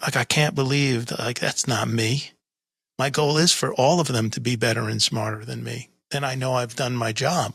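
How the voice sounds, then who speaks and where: This man's medium-pitched voice carries vocal fry. The recording is very clean and the background silent. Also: fairly even intonation, moderate pace. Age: 60s. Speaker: podcast host. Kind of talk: casual interview conversation.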